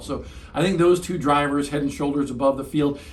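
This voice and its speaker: Amid audible room echo and noticeable background noise, a man talks at a fairly quick pace and fairly high pitch. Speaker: motorsports analyst. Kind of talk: post-race debrief. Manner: fast; animated.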